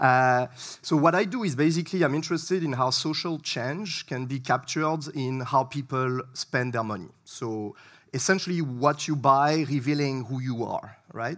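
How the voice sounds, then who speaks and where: A man's fairly high voice in a French accent, at a moderate pace with ordinary pitch variation, on a very clean recording with a silent background. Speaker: researcher. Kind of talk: lecture. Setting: stage with audience. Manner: hesitant, many fillers.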